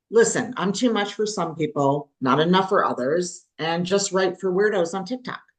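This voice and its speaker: A woman's ordinary speaking voice, medium in pitch, at a fairly slow pace with ordinary pitch variation. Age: 50s+. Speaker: podcast co-host. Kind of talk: casual chat.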